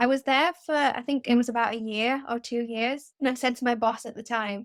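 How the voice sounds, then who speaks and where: A woman with a Mancunian accent speaks at a fairly quick pace in a high voice. Her intonation is fairly even, and the recording is very clean with a silent background. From northern England, Manchester. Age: 20s. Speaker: freelance writer. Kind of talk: casual interview.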